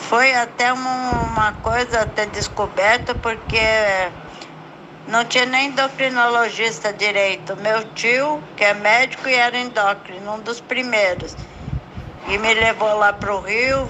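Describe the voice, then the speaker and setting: This woman's delivery is very slow. She keeps her intonation fairly even. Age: 70s. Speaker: patient sharing her story. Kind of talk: testimony.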